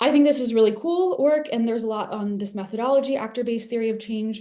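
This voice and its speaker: The voice has a dark, mellow tone with ordinary pitch variation. The pace is very fast. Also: woman. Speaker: evaluation expert presenter. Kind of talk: webinar lecture.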